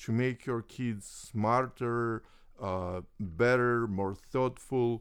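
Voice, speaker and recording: A man with a Russian accent speaks at a very slow pace, using medium pitch and ordinary pitch variation. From Soviet Union (Russia). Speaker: chess grandmaster. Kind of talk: interview. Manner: halting.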